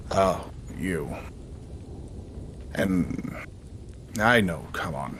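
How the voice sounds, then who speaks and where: A put-on character voice from a man, very deep and low, gravelly, over clear background noise. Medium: actual play. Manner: gruff, curt.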